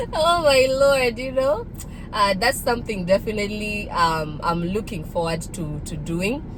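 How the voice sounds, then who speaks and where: A woman with a fairly high pitch and very wide pitch swings at a fairly slow pace, amid noticeable background noise and audible room echo. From Kenya, partly raised in Nairobi. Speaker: vlogger. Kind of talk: casual vlog monologue.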